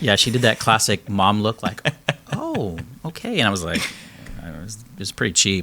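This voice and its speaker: A man speaks at a moderate pace in a plain, everyday voice. His pitch is fairly low, and his loudness swings widely. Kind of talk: casual podcast conversation.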